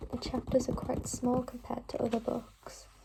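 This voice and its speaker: Whispering at a moderate speed, this woman is soft-spoken, with noticeable noise in the background. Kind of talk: ASMR reading and book tapping. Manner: whispered, soft-spoken.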